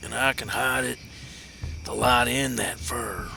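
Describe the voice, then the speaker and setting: A raspy, put-on character voice from a man at a fairly slow pace, over clear background noise. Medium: solo performance.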